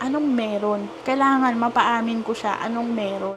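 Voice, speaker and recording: Soft-spoken and fairly high-pitched, a woman talks at a moderate pace with ordinary pitch variation against noticeable background noise. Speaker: vlogger. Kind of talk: casual vlog monologue.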